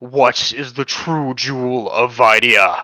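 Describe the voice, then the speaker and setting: A put-on character voice from a man, fairly slow in pace and medium in pitch. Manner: ominous, questioning.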